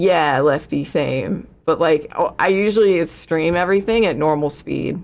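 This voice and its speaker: A woman talks at a fairly slow pace with vocal fry. Her pitch varies in an ordinary way. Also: fairly low pitch for a woman. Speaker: political streamer. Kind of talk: casual chat. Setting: live stream. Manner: halting.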